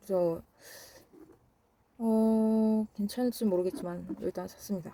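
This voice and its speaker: A woman's fairly high-pitched, somewhat breathy voice with a dark, mellow tone, ordinary pitch variation and a very slow pace. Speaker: book vlogger. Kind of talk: casual vlog talk. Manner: halting, tongue-tied.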